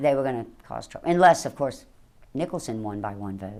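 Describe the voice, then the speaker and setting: A woman talks with a Louisiana accent at a moderate pace. Her pitch swings very widely, and vocal fry runs through her voice. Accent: Louisiana Southern US. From southeast Louisiana. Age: 60s. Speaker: election board official. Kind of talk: news interview.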